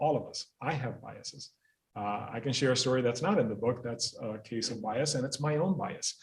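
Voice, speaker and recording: A man speaks at a moderate pace, his voice somewhat breathy. His pitch varies in an ordinary way. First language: not English (second language learner). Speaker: school principal. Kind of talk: panel talk. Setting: library event with audience and zoom.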